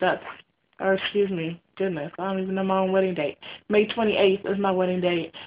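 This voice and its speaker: A woman speaks at a medium pitch in a monotone, with flat intonation. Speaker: weight-loss vlogger. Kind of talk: casual vlog update. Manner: hesitant, many ums.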